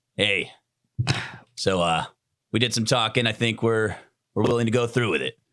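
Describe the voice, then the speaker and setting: A man puts on a raspy character voice at medium pitch with fairly even intonation. He keeps a moderate pace broken by long, frequent pauses. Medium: actual play. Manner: calm, laid-back.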